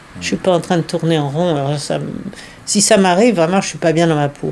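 Noticeable background noise accompanies a woman whose intonation is fairly even. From France. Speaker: day-care centre visitor. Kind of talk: interview.

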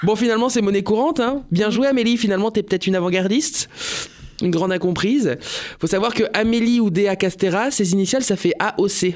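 Against noticeable background noise, a man talks at a fairly quick pace in a high pitch, with ordinary pitch variation and very even loudness. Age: 30s. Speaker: radio comedian / columnist. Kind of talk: comic radio chronicle.

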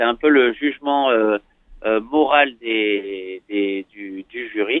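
This voice carries a slight southern French accent and ordinary pitch variation. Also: man. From southwestern France, Bordeaux. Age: 20s. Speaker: professional skateboarder. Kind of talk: interview. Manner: gentle; hesitant, many fillers.

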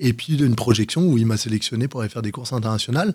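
A man at a medium pitch on a very clean recording with a silent background. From Paris region, France. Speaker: paratriathlete. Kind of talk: radio interview. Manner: energetic.

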